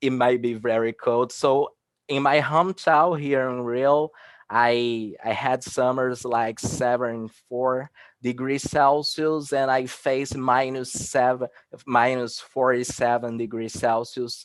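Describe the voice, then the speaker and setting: With a Portuguese accent, a man speaks at a medium pitch. His pace is very slow and his intonation fairly even. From Brazil, Rio de Janeiro. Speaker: researcher. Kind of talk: conference presentation. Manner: halting.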